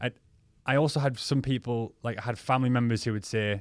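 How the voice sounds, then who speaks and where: A man races along at a very fast pace, his intonation staying fairly even. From northeast England (County Durham). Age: 30s. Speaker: DJ, podcast co-host. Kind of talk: casual chat.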